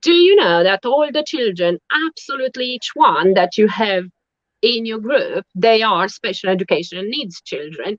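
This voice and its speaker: The speech comes at a moderate pace. It carries a Romanian accent. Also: woman. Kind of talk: casual interview chat. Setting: online live stream. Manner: halting.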